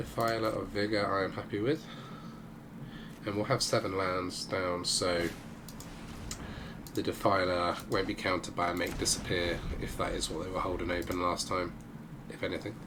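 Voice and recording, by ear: A man's low-pitched voice with little pitch movement and long, frequent pauses. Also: moderate pace.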